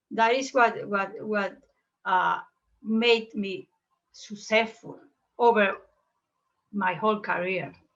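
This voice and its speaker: Speaking very slowly with long, frequent pauses, a woman uses a fairly high pitch and ordinary pitch variation. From Cuba, Guantanamo province. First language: Spanish. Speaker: classical guitarist and teacher. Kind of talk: interview. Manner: halting, many repetitions.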